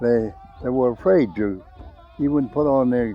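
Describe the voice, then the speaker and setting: Over music in the background, a man with an American accent talks at a fairly slow pace in a medium-pitched voice. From Crow Reservation, Montana. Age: 80s+. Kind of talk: interview. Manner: halting.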